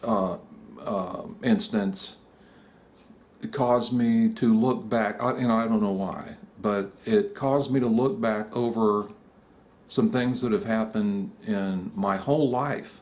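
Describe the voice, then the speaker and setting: A man's medium-pitched voice, very slow in pace, with ordinary pitch variation. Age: 60s. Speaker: graphic designer sharing personal story. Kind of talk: personal testimony monologue. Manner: halting, many fillers and false starts.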